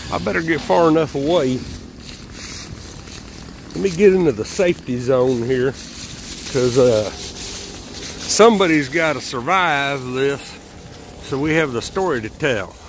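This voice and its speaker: At a fairly slow pace with long, frequent pauses, a man with a fairly high pitch uses lively intonation, in a dry recording with no echo and light background noise. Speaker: amateur filmer narrating. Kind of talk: casual talk while filming. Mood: joking, playful. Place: garden. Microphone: phone near.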